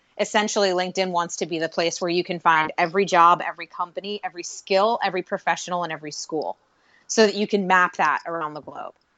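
A woman in a fairly low pitch with an American accent, at a very fast pace, with fairly even intonation and big swings in loudness. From Pittsburgh, Pennsylvania, US. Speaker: podcast host and social media guest. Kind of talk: casual interview.

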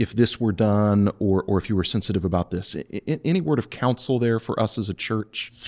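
A man with an ordinary speaking voice talks at a fairly quick pace, with hardly any pauses. His pitch is fairly low with ordinary variation, and the sound is dry and close with no echo. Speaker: pastor and podcast host. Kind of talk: casual chat.

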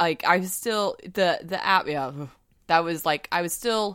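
In a slight Southern US accent, a woman with a fairly low pitch speaks in an animated tone with ordinary pitch variation, on a very clean recording with a silent background. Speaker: tarot podcast co-host. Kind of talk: casual chat. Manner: animated, laughing often.

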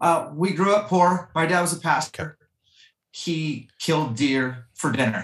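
With an ordinary speaking voice, a man talks at a fairly high pitch, his pitch varying in an ordinary way. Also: fairly slow pace. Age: 40s. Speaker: fitness coach and hunter. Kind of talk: casual chat.

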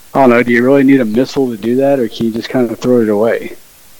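A man's medium-pitched voice with fairly even intonation, set against noticeable background noise. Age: 40s. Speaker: conspiracy theorist. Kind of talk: casual interview.

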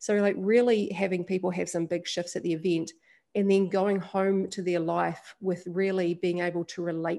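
Against a quiet background, a woman with a New Zealand accent speaks at a moderate pace and medium pitch, with fairly even intonation and a dark, mellow tone. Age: 30s. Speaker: women's leadership event founder and podcast host. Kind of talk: interview conversation.

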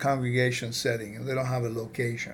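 Audible room echo surrounds a man talking at a medium pitch with an American accent. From California. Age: 50s. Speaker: podcast host. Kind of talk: interview.

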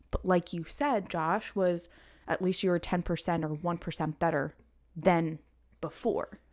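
In a very clean recording with a silent background, a woman with a fairly low pitch talks at a fairly slow pace, with ordinary pitch variation. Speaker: podcast co-host. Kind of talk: casual chat. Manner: loud.

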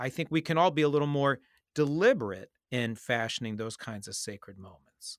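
With a normal speaking voice, a man at medium pitch talks at a fairly quick pace with lively intonation and big swings in loudness, the sound dry and close with no echo. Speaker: rabbi podcast host. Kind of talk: interview conversation.

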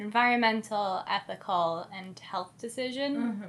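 The voice has a calm tone and a fairly slow pace. Its pitch varies in an ordinary way. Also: woman. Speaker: podcast co-host; yoga instructor. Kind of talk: casual.

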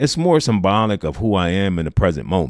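A man's unremarkable speaking voice, fairly low-pitched with an American accent, at a moderate pace, dry and close with no echo, very clean recording and a silent background. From New Jersey. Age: 50s. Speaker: motivational podcaster and army veteran. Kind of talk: scripted personal storytelling monologue.

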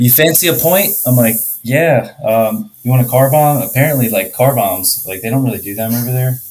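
With hardly any pauses, a man speaks at a moderate pace in a medium, somewhat breathy voice with lively intonation. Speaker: HVAC contractor. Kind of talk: casual chat.

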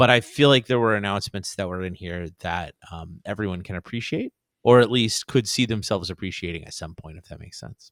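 In a very clean recording with a silent background and a dry, close sound with no echo, a man with an ordinary speaking voice talks at a fairly quick pace with hardly any pauses, his fairly low pitch showing ordinary variation and big swings in loudness. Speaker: podcast co-host. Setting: studio.

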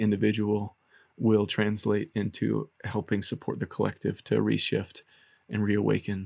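A man's normal speaking voice at a fairly low pitch and moderate pace, in a dry, close sound with no echo on a very clean recording with a silent background. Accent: American. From US South. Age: 30s. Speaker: therapist. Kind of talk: casual interview.

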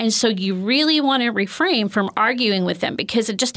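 A normal speaking voice from a woman at a moderate pace with ordinary pitch variation, on a very clean recording with a silent background. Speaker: counselor and former teacher. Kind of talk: interview discussion.

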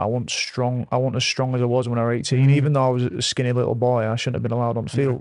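A man speaks at medium pitch. His delivery is flat and monotone. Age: 20s. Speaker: former rugby league player and mental health podcaster. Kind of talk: casual chat.

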